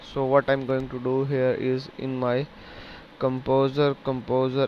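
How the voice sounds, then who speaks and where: A man with a Pakistani accent speaks at a very slow pace amid noticeable background noise. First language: Urdu. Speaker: programming tutor. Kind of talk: tutorial. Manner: hesitant, halting with fillers.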